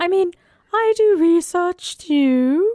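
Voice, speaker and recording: This put-on character voice is extremely high and squeaky. It comes with an English accent as part of the act. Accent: bad English. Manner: joking, exaggerated, mocking.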